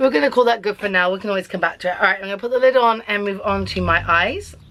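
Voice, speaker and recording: Someone with an English accent talks at a very fast pace with ordinary pitch variation. Noticeable background noise is present. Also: woman, medium pitch for a woman. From England. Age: 30s. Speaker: beauty vlogger. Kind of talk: casual makeup tutorial vlog. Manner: chatty.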